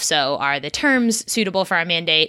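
With a Californian accent, a woman talks in a bright, sharp tone and ordinary pitch variation. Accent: American (California). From California, US. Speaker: startup co-founder and CEO. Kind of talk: casual interview.

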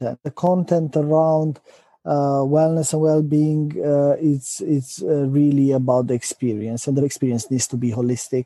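Fairly slow and fairly even in intonation, a man with a Romanian accent speaks in a fairly high pitch with a dark, mellow tone. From Romania, Transylvania. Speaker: company executive. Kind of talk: interview. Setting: remote call. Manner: hesitant, many fillers.

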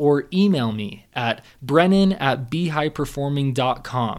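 Fairly slow but with lively intonation, this man's speech comes through a very clean recording with a silent background. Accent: Californian. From Southern California. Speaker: mental performance coach. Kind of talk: monologue podcast storytelling.

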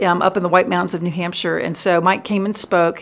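Vocal fry marks a woman's voice as she talks at a very fast pace. The recording is very clean, the background silent. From US South, Richmond, Virginia. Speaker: pastor. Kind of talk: interview.

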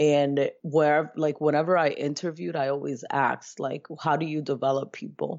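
In an American accent, the voice shows ordinary pitch variation. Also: woman. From Brooklyn, New York (born Dominican Republic). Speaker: educator and life coach. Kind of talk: interview.

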